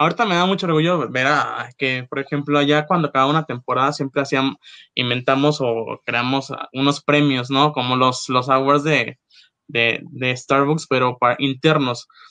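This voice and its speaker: With an unremarkable speaking voice, a man speaks at a moderate pace in a fairly high pitch and fairly even intonation. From Mexico, Acapulco. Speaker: former coffee shop manager. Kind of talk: casual chat.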